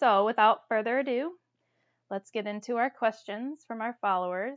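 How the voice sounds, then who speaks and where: A woman's plain, everyday voice, fairly high in pitch, with ordinary pitch variation and an American accent. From Toledo, Ohio. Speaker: podcast co-host. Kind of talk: casual chat.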